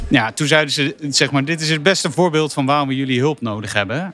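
A man speaks over noticeable background noise. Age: 30s. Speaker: sports data analyst. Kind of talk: casual chat. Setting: company office.

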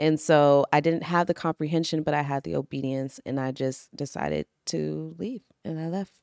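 A woman with an American accent speaks at a moderate pace in a very deep, low pitch with ordinary pitch variation, recorded dry and close with no echo, very clean against a silent background. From Washington DC area. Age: 30s. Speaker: actress and life coach. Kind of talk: casual interview chat. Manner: soft-spoken.

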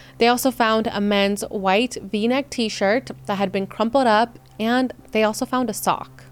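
Delivered at a moderate pace, the voice is an unremarkable speaking voice with fairly even intonation. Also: woman, fairly high pitch for a woman. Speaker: true crime podcaster. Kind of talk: true-crime narration, scripted storytelling. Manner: measured, serious narrative delivery; conversational, casual asides.

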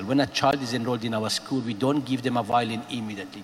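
A man speaks at a medium pitch. Noticeable background noise accompanies him. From Afghanistan. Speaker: music school director. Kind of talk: panel discussion.

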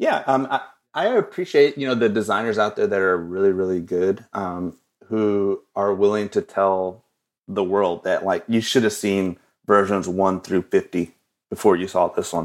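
Over a very clean recording with a silent background, a man with an American accent uses a plain, everyday voice at a fairly low pitch, a moderate pace and fairly even intonation. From West Texas (Odessa). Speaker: designer and illustrator. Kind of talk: casual interview.

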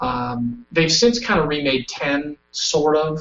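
A man's fairly high-pitched voice at a very slow pace, with music in the background. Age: 30s. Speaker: teacher. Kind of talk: casual chat. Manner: energetic.

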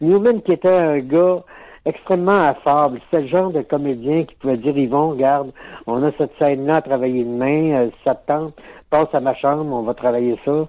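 With a French-Canadian accent, a man speaks in a fairly high voice with ordinary pitch variation. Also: moderate pace. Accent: typical French-Canadian. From Quebec, Lac-Saint-Jean. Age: 70s. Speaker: actor. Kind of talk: interview.

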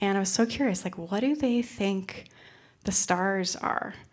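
A woman with an American accent, medium pitch, ordinary pitch variation and audible room echo. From upstate New York. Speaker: storyteller, former Peace Corps volunteer. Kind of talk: live storytelling. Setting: stage with audience. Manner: animated.

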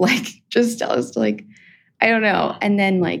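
With vocal fry in her voice, a woman talks at a fairly slow pace. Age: young. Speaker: caller seeking advice. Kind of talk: phone-in conversation.

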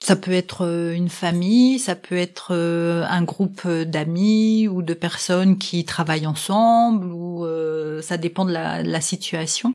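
A woman's dark, mellow voice at a very slow pace, with fairly even intonation and hardly any pauses. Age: 50s. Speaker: sign language interpreter, mother of the guest. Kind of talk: interview testimony.

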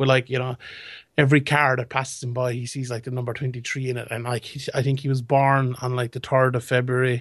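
Against a quiet background, a man with a Limerick accent speaks at a very fast pace and medium pitch in a monotone, flat intonation. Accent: Irish (Limerick). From Limerick, Ireland. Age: young. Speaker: MMA pundit. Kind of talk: casual chat.

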